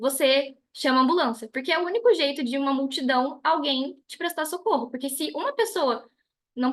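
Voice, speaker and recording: Her voice is high-pitched. The woman shows ordinary pitch variation. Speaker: business trainer. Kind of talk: online lecture. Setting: video call. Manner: fast.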